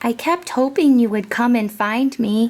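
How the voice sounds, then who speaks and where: Soft-spoken and high-pitched, a woman puts on a character voice. Her pace is moderate. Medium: read story. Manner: quiet, gentle.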